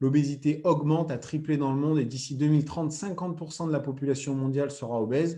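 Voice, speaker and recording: With a dark, mellow tone and somewhat breathy delivery, a man speaks at a fairly high pitch with fairly even intonation. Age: 30s. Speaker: former athlete and product distributor. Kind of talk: sales pitch. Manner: hesitant with frequent fillers.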